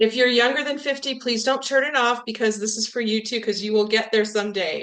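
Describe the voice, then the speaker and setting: A woman speaks at a fairly quick pace in a high voice with ordinary pitch variation. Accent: West Coast American. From Southern California. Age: 60s. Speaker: wellness product presenter, retired teacher. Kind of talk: webinar presentation. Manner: casual, hesitant with many fillers.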